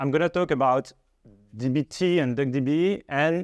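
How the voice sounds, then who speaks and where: In a French accent, a man speaks at a fairly high pitch with ordinary pitch variation. The sound is dry and close with no echo over a quiet background. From France. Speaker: data engineer. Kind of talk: tech presentation. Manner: hesitant, many fillers.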